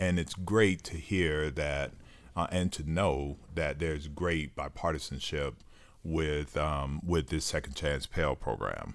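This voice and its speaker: A man with a very deep, low voice and vocal fry speaks at a very slow pace. His intonation stays fairly even, and the recording is very clean with a silent background. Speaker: podcast host and co-founder of a higher education foundation. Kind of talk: casual interview conversation. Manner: uses many filler words, warm and conversational.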